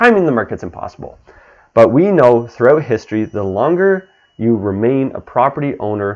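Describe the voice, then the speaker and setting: With a normal speaking voice, a man keeps to medium pitch and lively intonation while talking at a moderate pace. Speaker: real estate agent. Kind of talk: market update video talk.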